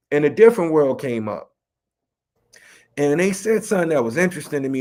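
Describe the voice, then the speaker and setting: Heard on a very clean recording with a silent background, a man with a fairly high pitch speaks at a fairly quick pace in an American accent. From Chicago West Side. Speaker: rapper and educator. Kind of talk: interview. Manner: casual.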